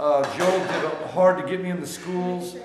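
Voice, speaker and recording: A man speaks in a high pitch at a moderate pace. There is noticeable background noise and audible room echo. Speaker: traveling evangelist. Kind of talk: casual vlog chat. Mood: joking, teasing friends. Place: cafe. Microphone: phone near.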